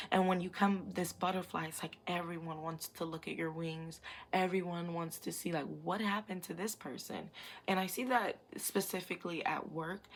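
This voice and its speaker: This woman has an ordinary speaking voice, pitched fairly low, with fairly even intonation. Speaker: psychic tarot reader. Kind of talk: pick-a-card tarot reading. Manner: casual, many fillers.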